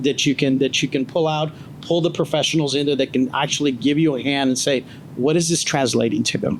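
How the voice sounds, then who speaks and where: With noticeable background noise around him, a man speaks at a fairly quick pace in a fairly high pitch, his loudness very even. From grew up abroad, came to the US as a child. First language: not English. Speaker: panelist, former law enforcement. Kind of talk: panel discussion. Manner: animated.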